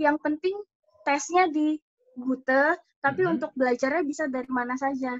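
Recorded dry and close with no echo, a woman talks at a moderate pace in a high voice. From Indonesia. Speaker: au pair. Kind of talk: casual interview.

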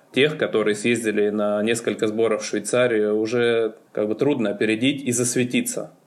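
Here a man is talking. He keeps a fairly quick pace. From Moscow region, Russia. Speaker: ski coach. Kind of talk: interview. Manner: hesitant.

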